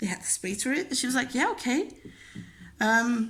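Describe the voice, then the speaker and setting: Over music in the background, a woman with a Dutch accent speaks at a high pitch with ordinary pitch variation. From Belgium. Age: 20s. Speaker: crafting YouTuber. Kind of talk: casual chat. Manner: casual, with many fillers.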